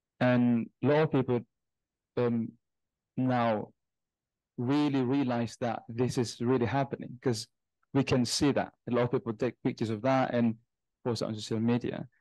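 Over a quiet background with a dry sound and no echo, a man with an Indonesian accent speaks at a medium pitch in a dark, mellow tone, monotone and flat, with long, frequent pauses. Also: moderate pace. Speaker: student, audience member; audience member. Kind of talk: audience question. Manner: halting. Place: home room. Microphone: video call.

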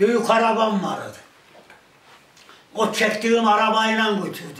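There is audible room echo around a man speaking at a high pitch. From Turkey. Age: 80s+. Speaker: villager; village elder storyteller. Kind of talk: casual chat. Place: home room.

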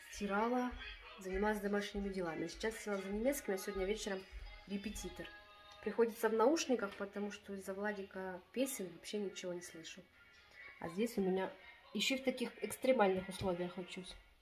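Her loudness swinging widely, a woman speaks at a fairly quick pace with faint music in the background. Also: ordinary pitch variation. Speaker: home vlogger. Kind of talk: casual vlog chat. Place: home room. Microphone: phone near.

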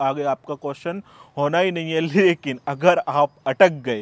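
With fairly even intonation and a fairly high pitch, a man talks in a plain, everyday voice, the sound dry and close with no echo. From India. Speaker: YouTuber giving UK immigration advice. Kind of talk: video tutorial monologue. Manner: casual, conversational.

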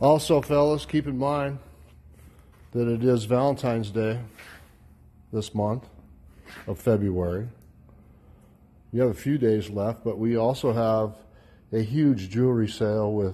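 A man with a dark, mellow tone speaks at a fairly slow pace, leaving long, frequent pauses. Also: ordinary pitch variation. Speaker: auction house staff. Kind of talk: walkthrough sales commentary. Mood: light, joking. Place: hall. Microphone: phone near.

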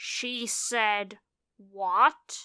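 A woman puts on a character voice at fairly high pitch. Hissing can be heard. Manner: hissed, dangerous.

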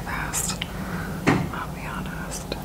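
She whispers. The woman's voice is soft-spoken. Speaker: makeup vlogger. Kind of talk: casual vlog chat. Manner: soft ASMR whisper while applying mascara. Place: home room. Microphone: phone near.

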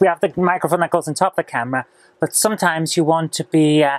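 With ordinary pitch variation, a woman speaks in a very deep, low voice. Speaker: vlogger. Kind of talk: casual vlog chat. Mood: chatty, mildly opinionated. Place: office. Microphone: lapel.

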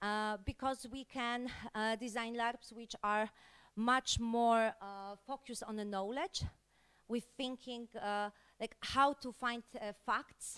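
Very slow pace from a woman with fairly even intonation over a quiet background. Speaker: conference presenter. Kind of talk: conference talk. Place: hall. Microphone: handheld.

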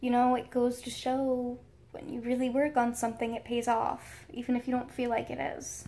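With an American accent, a woman talks at a high pitch and moderate pace. Her intonation stays monotone and flat. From United States. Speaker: YouTuber. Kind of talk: story time vlog. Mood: excited, giddy storytelling. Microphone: phone near.

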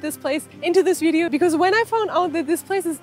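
A woman's extremely high-pitched voice, dry with no echo, with faint music in the background. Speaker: travel vlogger. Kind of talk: casual vlog chat. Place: open country. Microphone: phone near.

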